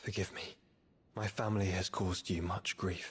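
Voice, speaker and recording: In a raspy, put-on character voice, someone speaks at a moderate pace with monotone, flat intonation. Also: man, very deep, low pitch for a man. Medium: video game. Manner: earnest, formal.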